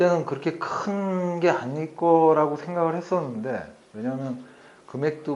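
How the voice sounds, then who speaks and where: A man talks with lively intonation. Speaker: company executive presenter. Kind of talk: presentation. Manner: trying to speak louder.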